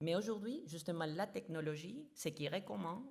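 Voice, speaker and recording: A woman speaks with a very deep, low pitch and a somewhat breathy quality. Her pace is fairly slow. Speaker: international organization official. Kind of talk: conference talk.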